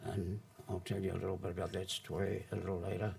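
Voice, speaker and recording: A man with a fairly low pitch talks in a somewhat breathy way. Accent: New Zealand. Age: 70s. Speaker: former long-term prisoner. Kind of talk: public talk. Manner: halting.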